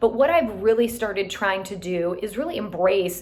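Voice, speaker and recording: Speaking in a normal speaking voice, this woman keeps a medium pitch and a moderate pace, her pitch moving in an ordinary way. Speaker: real estate team leader. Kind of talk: motivational talk to team.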